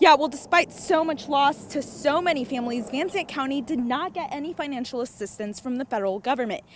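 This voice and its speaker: This woman talks at a fairly quick clip with hardly any pauses, her high voice lively in intonation. The pitch sits high for a woman. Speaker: TV news reporter. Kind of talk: TV news field report.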